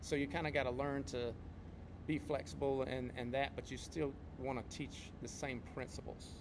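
A man with an American accent and vocal fry, at medium pitch, a moderate pace and fairly even intonation. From North Carolina. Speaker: podcast co-host, martial arts instructor and competitor. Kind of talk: casual podcast chat.

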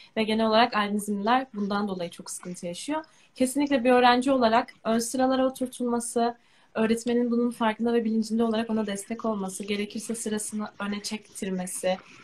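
A woman talks in a fairly high voice. Her sound is somewhat breathy. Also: fairly quick pace. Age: 20s. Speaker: university student with albinism. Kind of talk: live stream interview.

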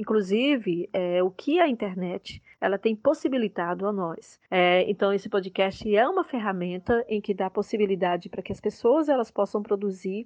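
A woman's ordinary speaking voice at medium pitch, with ordinary pitch variation, a moderate pace and hardly any pauses. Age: 50s. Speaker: journalist and university professor. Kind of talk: interview answers, explanatory.

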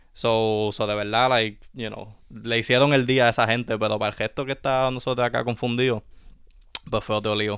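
The man's medium-pitched voice is monotone, with flat intonation. He keeps a moderate pace. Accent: Puerto Rican. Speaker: sneaker podcast co-host. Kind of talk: casual chat. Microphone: new microphone.

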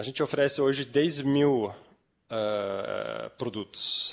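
A man's very slow speech with ordinary pitch variation. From Switzerland, Zurich. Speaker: company founder. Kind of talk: interview. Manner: halting.

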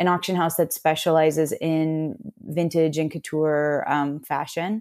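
With an American accent, a woman speaks in a dark, mellow, fairly low voice with fairly even intonation, on a very clean recording with a silent background. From Austin, Texas. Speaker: fashion company executive. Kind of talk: interview about career. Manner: hesitant, many fillers.

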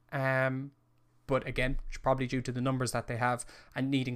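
An Irish-accented man at medium pitch, fast-ish and monotone, in a very clean recording with a silent background. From Ireland. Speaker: football podcast host. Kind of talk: casual solo live-stream commentary. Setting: live stream.

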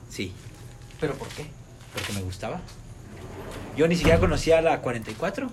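A man with a fairly high pitch talks at a moderate pace, with very wide pitch swings, big swings in loudness and long, frequent pauses, amid noticeable background noise and audible room echo. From Mexico. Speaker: friend of the host. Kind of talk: casual chat.

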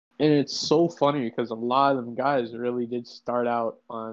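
Speaking with a plain, everyday voice, this man holds a mid-range pitch and mostly level intonation. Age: 18. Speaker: aspiring wrestler, podcast guest. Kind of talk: casual chat.

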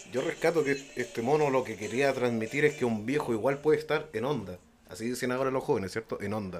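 Amid noticeable background noise, a man with a Chilean accent talks very fast at a medium pitch with ordinary pitch variation. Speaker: podcast guest. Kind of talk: casual chat.

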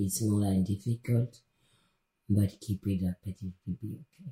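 The voice has a dark, mellow tone and sounds somewhat breathy, moving at a fairly slow pace with ordinary pitch variation. The sound is dry and close, with no echo. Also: woman. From DR Congo, Kasai region. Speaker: interview guest sharing personal story. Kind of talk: podcast interview.

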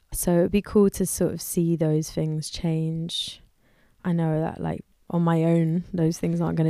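A woman with a London accent speaks at a moderate pace, her pitch fairly low and her intonation monotone and flat, with a dark, mellow tone. The recording is very clean, with a silent background. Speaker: musician. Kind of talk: interview conversation. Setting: studio.

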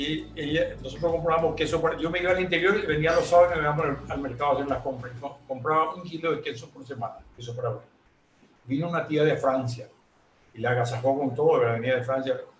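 Here a man speaks at a very fast pace with a fairly high pitch. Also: ordinary pitch variation. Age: 70s. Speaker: retired entrepreneur. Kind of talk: interview. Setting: at home.

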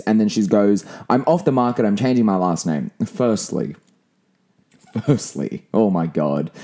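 A man speaks at a fairly slow pace, his voice at a medium pitch with a dark, mellow tone. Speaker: podcast host. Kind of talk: casual solo podcast monologue.

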